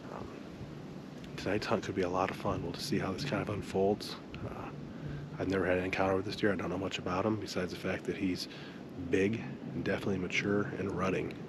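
Fast and low-pitched, a man speaks with an American accent and little pitch movement.

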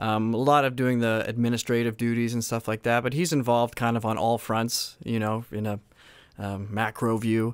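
A man with a Canadian accent speaks in an ordinary speaking voice. His pitch is medium, his intonation fairly even, and his pace moderate. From Saskatchewan, Canada. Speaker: a cappella singer. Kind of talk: casual interview. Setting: video call.

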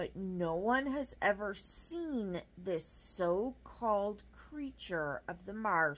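Lively intonation in a natural reading voice

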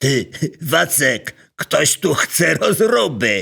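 Cackling in a put-on character voice, a man speaks at a very slow pace with a fairly high pitch and very wide pitch swings. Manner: cackling, mocking.

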